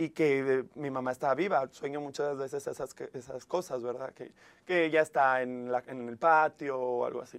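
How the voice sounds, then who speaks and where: An unremarkable speaking voice from a man, fairly high in pitch, with fairly even intonation, big swings in loudness and a moderate pace. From Mexico, Monclova, Coahuila. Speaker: TV presenter and life coach. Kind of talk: casual interview chat.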